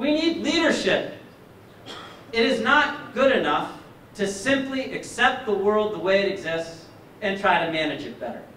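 A man's high voice with very wide pitch swings and long, frequent pauses, plus audible room echo and light background noise. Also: moderate pace. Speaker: candidate for governor; candidate. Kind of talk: campaign speech. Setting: stage with audience. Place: hall.

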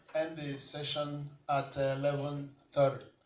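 There is light background noise and audible room echo. The speaker is a man. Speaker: workshop organizer; session host or moderator. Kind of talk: closing remarks. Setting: stage with audience. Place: hall.

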